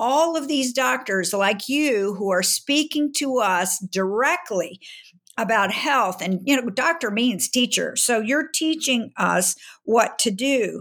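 On a very clean recording with a silent background, a woman with a fairly high pitch speaks at a very slow pace, her intonation lively and her loudness very even. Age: 70s. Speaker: publisher and health mentor. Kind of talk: interview, conversational.

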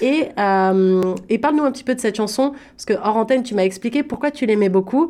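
A woman speaks fairly quickly in a fairly high pitch, with hardly any pauses. Her tone is dark and mellow, and the recording is very clean with a silent background. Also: ordinary pitch variation. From Paris, France. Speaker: community radio host. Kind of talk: interview. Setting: radio studio.

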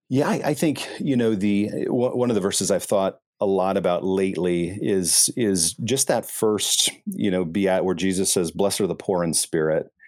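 An ordinary speaking voice, a man's at a fairly low pitch, moves at a moderate pace with hardly any pauses, very even loudness and ordinary pitch variation. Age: 40s. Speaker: pastor. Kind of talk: interview.

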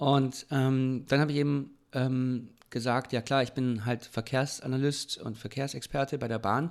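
At a fairly slow pace, a man talks with monotone, flat intonation in a medium pitch. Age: 30s. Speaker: local politician and podcast co-host. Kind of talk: casual chat.

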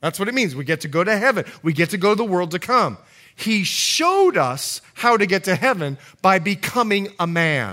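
A man with an American accent speaks in a raised, projected voice that is high for a man. His tone is bright and sharp, and his intonation is lively. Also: moderate pace. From Bahamas. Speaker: pastor. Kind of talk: sermon. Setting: church service.

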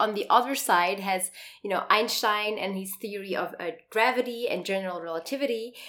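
In an enthusiastic tone, a woman speaks with ordinary pitch variation. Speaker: podcast co-host, physics researcher. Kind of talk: science podcast conversation.

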